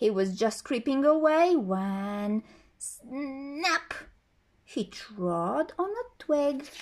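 A high-pitched woman's voice, very slow, with very wide pitch swings. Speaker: storyteller reading a picture book. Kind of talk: bedtime story telling, reading a children's tale aloud. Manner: gentle, soothing storyteller pace with expressive character voices. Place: home room. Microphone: phone near.

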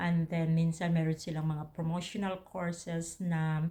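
A woman's somewhat breathy voice, fairly low in pitch and dark, mellow in tone, at a fairly slow pace. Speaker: vlogger. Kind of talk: casual advice talk to camera.

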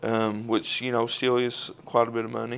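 Speaking at a moderate pace, a man delivers his words in a monotone, flat intonation. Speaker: cooking demonstrator. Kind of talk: tutorial. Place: kitchen. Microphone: lapel.

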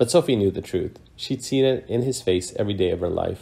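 Somewhat breathy, a man speaks at a moderate pace in a soothing, dramatic, dark, and mellow tone with ordinary pitch variation. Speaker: author. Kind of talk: bedtime story reading. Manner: soothing, storyteller cadence with dramatic, wry emphasis.

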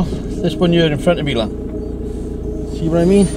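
A man speaks over noticeable background noise. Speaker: van driver vlogger. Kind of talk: angry rant while driving. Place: car. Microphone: phone near.

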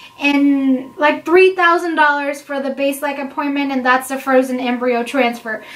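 This woman has a high pitch and fairly even intonation. She keeps a moderate pace with hardly any pauses. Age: 20s. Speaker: vlogger answering viewer questions about IVF. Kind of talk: casual Q&A chat. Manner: conversational, with frequent fillers. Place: home room. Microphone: camera far.

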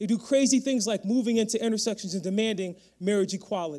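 A man speaks in an American accent at a fairly quick pace with an animated tone and ordinary pitch variation. The background is quiet. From Connecticut, Bridgeport. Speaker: history professor and dean. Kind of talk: keynote speech. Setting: stage with audience. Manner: fast talker. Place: hall. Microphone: handheld.

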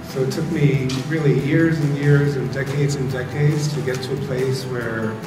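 Clear music plays in the background while a man talks at a fairly slow pace with fairly even intonation. Audible room echo surrounds his voice. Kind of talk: talk to an audience. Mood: warm, smiling, reflective. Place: hall. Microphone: lapel.

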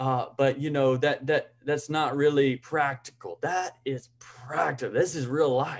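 The setting behind the voice is quiet. A man talks at a fairly slow pace. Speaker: online challenge host. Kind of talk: casual sermon-like talk. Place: home room. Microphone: video call.

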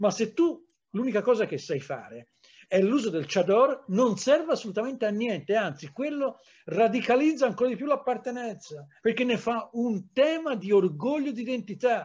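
A man's extremely high-pitched voice with lively intonation over a quiet background. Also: moderate pace. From Tuscany, Livorno; Tuscany. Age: 60s. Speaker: historian; historian lecturer. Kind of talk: lecture. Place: home room. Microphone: webcam.

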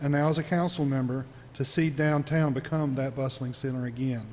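Fairly even intonation from a man at a moderate pace, with audible room echo. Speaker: city council member. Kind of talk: council meeting statement. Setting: city council chamber. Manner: formal.

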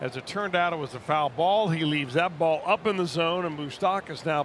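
A man with a plain, everyday voice speaks at a fairly quick pace, his fairly high pitch showing ordinary pitch variation. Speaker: baseball broadcaster. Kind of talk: baseball color commentary. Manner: analytical, measured, conversational explanations.

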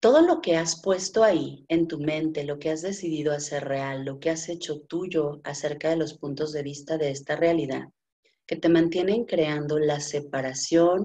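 Against a quiet background, the speaker goes at a fairly slow pace with fairly even intonation. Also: woman. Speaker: healing facilitator. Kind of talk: guided meditation. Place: home room. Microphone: video call.

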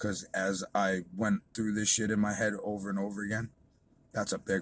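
With light background noise and a dry sound with no echo, a man speaks at a moderate pace in a fairly low, monotone, flat voice. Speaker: vlogger. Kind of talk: casual vlog rant. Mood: angry, defiant. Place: car. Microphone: phone near.

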